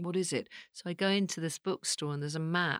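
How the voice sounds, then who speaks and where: A woman's fairly low voice with a British accent, in a very clean recording with a silent background and a dry, close sound with no echo. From England. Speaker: psychic medium and actress. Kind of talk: casual chat. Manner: animated.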